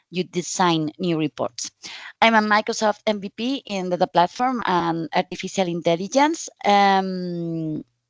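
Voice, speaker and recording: Speaking at a fairly slow pace with a Spanish accent, a woman uses a medium pitch with ordinary pitch variation. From Spain. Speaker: data visualization specialist, conference speaker. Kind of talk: conference talk. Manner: halting, with fillers.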